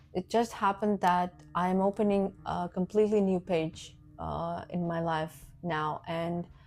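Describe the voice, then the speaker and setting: Very slow, monotone speech from a woman with a dark, mellow tone and medium pitch, the intonation flat. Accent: non-native. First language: Russian. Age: 30s. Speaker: vlogger. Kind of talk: casual vlog introduction. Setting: alone talking to camera. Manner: halting, with fillers and self-corrections.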